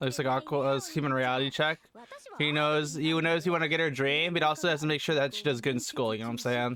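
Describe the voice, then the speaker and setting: A man's fairly high voice at a very fast pace, with fairly even intonation and noticeable background noise. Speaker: YouTube anime reactor. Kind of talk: reaction commentary.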